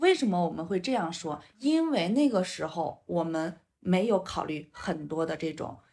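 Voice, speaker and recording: A woman with an unremarkable speaking voice talks at a fairly slow pace with hardly any pauses. Her pitch is fairly low and her intonation lively. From northern rural China. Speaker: five-elements psychology counselor. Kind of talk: casual interview chat.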